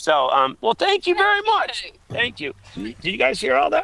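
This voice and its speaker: A man speaks at a moderate pace in a raised, projected voice. His tone is animated. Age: 50s. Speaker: aid station volunteer and race organizer. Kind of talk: casual chat.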